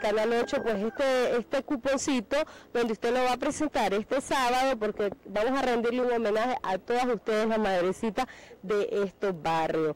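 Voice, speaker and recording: A woman talks at a moderate pace in a high pitch with ordinary pitch variation. The sound is dry, with no echo. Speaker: radio, TV reporter. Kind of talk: field reporter interview. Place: street. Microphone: handheld.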